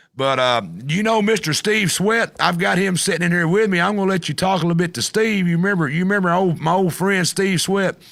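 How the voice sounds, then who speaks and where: On a very clean recording with a silent background, a man with a high pitch talks at a fairly quick pace with hardly any pauses, very even loudness and ordinary pitch variation. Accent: Southern US. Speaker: talk show host. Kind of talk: casual interview.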